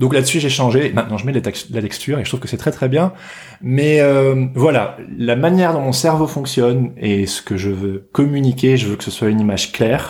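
At a moderate pace, a man speaks in a plain, everyday voice, medium in pitch with ordinary pitch variation. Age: 30s. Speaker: illustrator. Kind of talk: casual chat.

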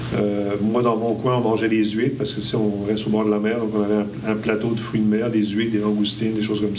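Over noticeable background noise, a man with a fairly low pitch speaks at a fairly quick pace in a monotone, flat intonation. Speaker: panelist. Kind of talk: casual chat.

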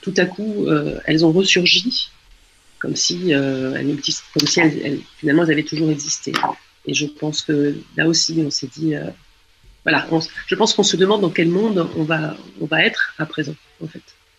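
Long pauses interrupt the talking often. Between them, the delivery keeps a moderate pace. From France. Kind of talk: radio interview.

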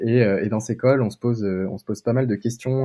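Ordinary pitch variation from a man speaking at a medium pitch. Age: 20s. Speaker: entrepreneur, startup co-founder. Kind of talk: casual interview. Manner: hesitant, many fillers and repetitions.

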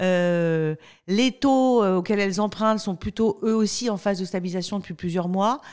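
Energetic in tone, a woman speaks at a medium pitch and moderate pace with ordinary pitch variation. The recording is very clean, with a silent background. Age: 40s. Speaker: company spokesperson. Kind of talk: podcast interview. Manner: frequent hesitations.

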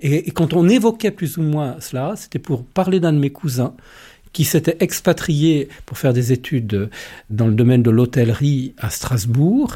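With a fairly high yet dark, mellow voice that is somewhat breathy, a man speaks at a fairly slow pace with lively intonation in a very clean recording with a silent background. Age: 50s. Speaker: lay pastoral worker. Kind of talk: interview testimony.

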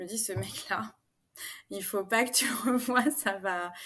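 Her intonation is lively. The woman keeps a fairly slow pace. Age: 40s. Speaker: coaching client sharing her story. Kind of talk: interview testimony. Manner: halting, many fillers.

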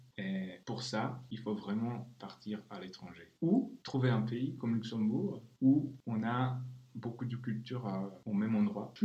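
In a Czech accent, a man speaks at a very slow pace with a medium pitch, ordinary pitch variation and a dark, mellow tone. His voice is somewhat breathy, and audible room echo surrounds it. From Czech Republic. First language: Czech (speaking French). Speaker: translator. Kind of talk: interview.

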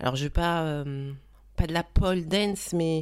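A woman's very deep, low voice, fairly slow, with ordinary pitch variation, on a very clean recording with a silent background. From Paris. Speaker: dancer. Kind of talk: casual chat.

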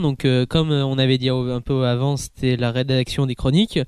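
This man's pitch is fairly high. He talks very fast. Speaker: podcast co-host, anime columnist. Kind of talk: casual chat. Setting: podcast recording.

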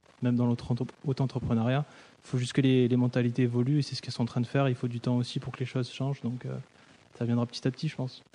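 A man talks very fast at a medium pitch, in a dark, mellow tone. His delivery is monotone and flat, broken by long, frequent pauses. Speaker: musician and sound designer. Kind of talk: casual discussion.

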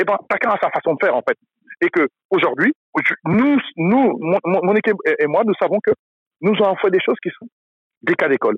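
This man's voice sits high in pitch, moving at a moderate pace with lively intonation and long, frequent pauses. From France. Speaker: basketball event founder. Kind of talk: casual chat. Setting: outdoors.

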